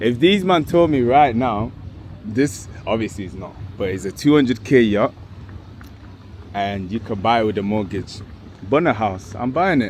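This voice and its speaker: A man's fairly low, animated voice with a London accent, lively intonation, a moderate pace and long, frequent pauses. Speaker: travel vlogger. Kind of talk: casual vlog chat. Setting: outdoors.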